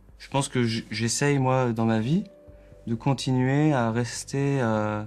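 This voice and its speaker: A man's very slow voice at a medium pitch, with big swings in loudness, ordinary pitch variation and noticeable background noise. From Alsace, France. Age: 20s. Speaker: electronic musician. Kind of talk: therapy session conversation. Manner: halting.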